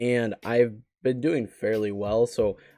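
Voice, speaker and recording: A quiet man's voice at medium pitch, dark and mellow in tone, with fairly even intonation. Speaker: gaming YouTuber. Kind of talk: casual vlog commentary. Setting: at home, roommates asleep.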